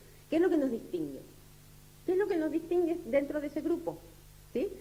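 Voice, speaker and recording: A woman speaks with a dark, mellow tone. Audible room echo surrounds her voice. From Uruguay. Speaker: lecturer. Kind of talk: lecture. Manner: halting, many fillers.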